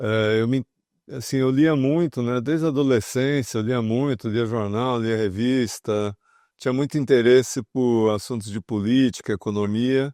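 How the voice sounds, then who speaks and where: A man's dark, mellow tone at a fairly slow pace, with fairly even intonation, a quiet background and a dry, close sound with no echo. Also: medium pitch for a man. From interior of São Paulo state, Brazil. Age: 60s. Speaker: former journalist and financial market communications executive. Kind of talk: oral history interview. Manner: hesitant, many fillers.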